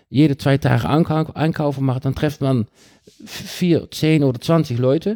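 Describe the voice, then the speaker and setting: With a Dutch accent, a man speaks at a moderate pace in a dark, mellow, fairly high-pitched voice with ordinary pitch variation, recorded very cleanly against a silent background. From Netherlands (Rotterdam). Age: 50s. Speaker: cycling advocate. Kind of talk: podcast interview. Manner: halting.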